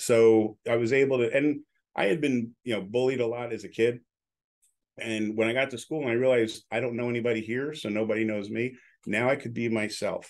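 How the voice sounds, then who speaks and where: A man in a normal speaking voice, medium-pitched, fairly quick, with fairly even intonation against a quiet background. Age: 60s. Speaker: radio broadcaster and entrepreneur. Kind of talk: casual chat.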